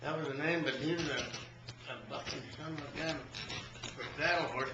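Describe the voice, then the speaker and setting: A man speaks over noticeable background noise. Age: 80s+. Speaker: cowboy. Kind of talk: casual storytelling.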